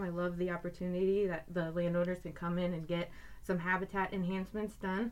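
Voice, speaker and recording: Talking at a fairly quick pace, a woman with an American accent has a fairly low pitch. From Iowa. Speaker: wildlife biologist. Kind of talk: casual chat. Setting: recording studio.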